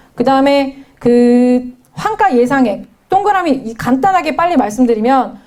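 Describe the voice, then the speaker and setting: A woman's high pitch with very wide pitch swings. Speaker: judicial scrivener lecturer. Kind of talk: lecture.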